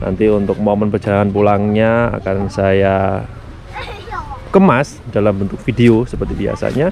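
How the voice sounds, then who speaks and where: In an ordinary speaking voice, a man talks at a moderate pace and fairly low pitch with ordinary pitch variation, the sound dry with no echo and light background noise. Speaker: car vlogger. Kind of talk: casual vlog chat. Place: open country. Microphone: phone near.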